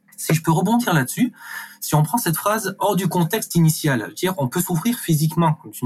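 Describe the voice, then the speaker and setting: Fairly quick speech from a man, with very wide pitch swings. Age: 30s. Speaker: reiki practitioner and community manager. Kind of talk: testimony. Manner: hesitant, repeating words.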